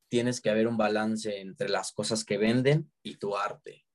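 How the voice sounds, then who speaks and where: The speech moves at a fairly slow pace with fairly even intonation, recorded with a dry, close sound and no echo. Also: man. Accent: Mexican. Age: 20s. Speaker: book content creator. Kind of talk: casual chat.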